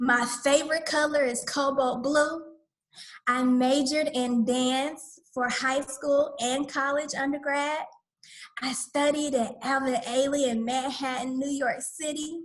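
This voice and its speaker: With an Atlanta accent, a woman speaks high in pitch at a fairly slow pace, her intonation monotone and flat. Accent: Southern US (Atlanta). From US South, Atlanta, Georgia. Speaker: community school director, dance facilitator. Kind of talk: online workshop presentation.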